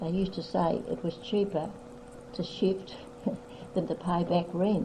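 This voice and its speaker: A woman in an Australian accent at medium pitch, fairly slow, with ordinary pitch variation and noticeable background noise. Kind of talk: family history reminiscence.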